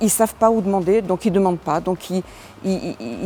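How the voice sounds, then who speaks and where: A woman's voice at medium pitch with a dark, mellow tone. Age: 60s. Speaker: business owner and election candidate. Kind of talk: interview. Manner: hesitant, many fillers.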